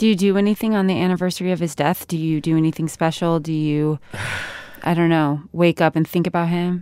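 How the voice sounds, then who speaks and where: A woman's fairly low voice with an American accent, an unremarkable speaking voice, fairly quick and fairly even in intonation. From Sacramento, California. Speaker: podcast co-host. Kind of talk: casual chat.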